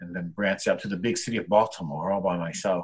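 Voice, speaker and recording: Here is a man with a very deep, low pitch. His intonation is fairly even and his pace fairly quick. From New Jersey, Jersey Shore (Monmouth County). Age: 50s. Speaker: artist and art entrepreneur. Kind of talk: casual interview.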